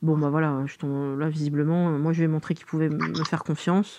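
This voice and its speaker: Her pitch very deep and low, a woman talks at a fairly quick pace in a dark, mellow tone with monotone, flat intonation. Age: 40s. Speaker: interviewee sharing dating life. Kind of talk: interview. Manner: hesitant, many fillers.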